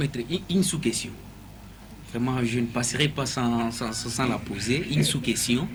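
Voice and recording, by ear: A man speaks at a moderate pace with a medium pitch and ordinary pitch variation.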